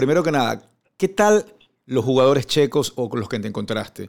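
A man with an unremarkable speaking voice talks at a medium pitch and a moderate pace. His intonation is lively. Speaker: sports radio and TV host. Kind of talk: radio interview.

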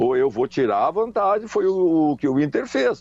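A man talks rather slowly, his pitch swinging very widely up and down. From Rio Grande do Sul, Brazil (Charqueadas). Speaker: former footballer and coach. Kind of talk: interview. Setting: phone call.

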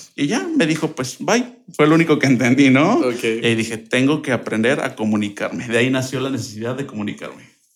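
A man's fairly quick, nearly pause-free delivery at a medium pitch, with ordinary pitch variation. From Mexico, Querétaro. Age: 20s. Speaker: language teacher and translator. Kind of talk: interview.

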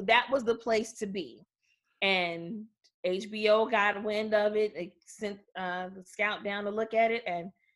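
A normal speaking voice with an American accent moves at a fairly slow pace with ordinary pitch variation. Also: woman. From Chicago. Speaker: comedian's daughter. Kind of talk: interview. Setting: studio.

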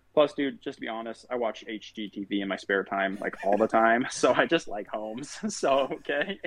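A man with an American accent at a moderate pace, with ordinary pitch variation, hardly any pauses and noticeable background noise. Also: medium pitch for a man. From Utah. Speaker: loan officer. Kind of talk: casual interview.

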